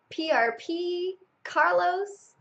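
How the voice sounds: A woman speaks with an extremely high pitch, a fairly bright tone, lively intonation and some vocal fry. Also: very slow pace.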